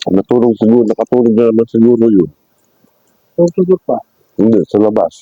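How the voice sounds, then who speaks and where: A man's dark, mellow voice at medium pitch, fairly quick in pace with long, frequent pauses, lively intonation, very even loudness and a dry, close sound with no echo. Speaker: food vlogger. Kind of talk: mukbang vlog. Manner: mouth full while talking.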